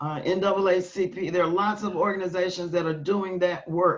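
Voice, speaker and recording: A woman speaks in an ordinary speaking voice with an American accent. Her pitch is medium, her intonation fairly even and her pace moderate. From US South. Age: 60s. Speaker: keynote speaker, nonprofit leader. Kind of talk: conference talk and Q&A.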